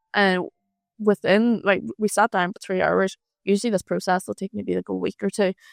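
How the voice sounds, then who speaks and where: Over a silent background in a very clean recording, a woman with an Irish accent speaks at a moderate pace in a dry, close sound with no echo. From Ireland. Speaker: freelance marketer. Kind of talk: casual chat. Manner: loud; animated.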